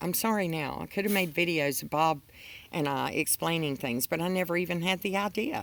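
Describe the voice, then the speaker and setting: A woman talks at a fairly quick pace in a fairly low pitch with vocal fry and ordinary pitch variation. The recording is very clean, with a silent background. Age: 60s. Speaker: homesteader vlogger. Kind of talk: reading aloud from own journal; casual vlog talk. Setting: outdoors.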